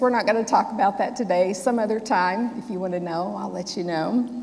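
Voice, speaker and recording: A woman's lively, bouncy intonation with an American accent. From US South, Memphis. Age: 60s. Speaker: Sikh minister. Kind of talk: sermon. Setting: church with congregation. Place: church.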